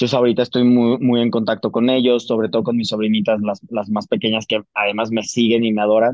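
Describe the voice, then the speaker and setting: A man talks at a very fast pace with a medium pitch and hardly any pauses. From Mexico (Jalisco). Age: 40s. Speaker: actor. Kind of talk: casual interview.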